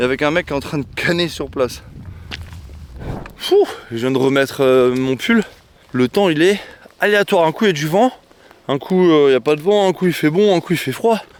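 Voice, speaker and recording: A man's fairly high voice with lively intonation, at a moderate pace with long, frequent pauses, over noticeable background noise. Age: 30s. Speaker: YouTuber. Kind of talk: vlog monologue. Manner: casual.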